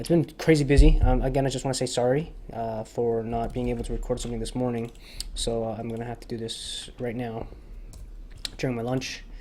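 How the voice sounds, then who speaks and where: The speech moves at a fairly quick pace, with audible room echo. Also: man. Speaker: 3D texture artist. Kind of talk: tutorial. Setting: booked office room. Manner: fast.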